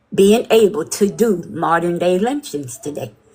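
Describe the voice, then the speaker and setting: A woman talks at a very slow pace. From Mississippi, US South. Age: 60s. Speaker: livestream caller. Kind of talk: impassioned call-in commentary.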